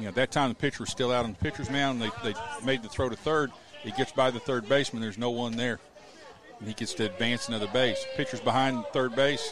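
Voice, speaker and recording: Very fast male speech, medium in pitch, ordinary in its pitch variation. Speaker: color commentator. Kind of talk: live sports commentary, analytical color between pitches. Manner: relaxed, conversational, explaining strategy.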